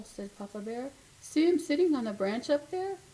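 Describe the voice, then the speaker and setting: At a moderate pace, a woman speaks in a put-on character voice with a high pitch. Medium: read story. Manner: loud.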